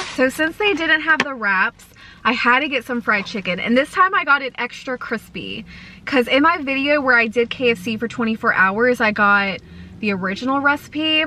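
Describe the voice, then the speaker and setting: A woman with a high voice speaks at a moderate pace, her intonation lively. The sound is dry with no echo, over light background noise. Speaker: food vlogger. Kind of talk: casual vlog chat. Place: car. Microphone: phone near.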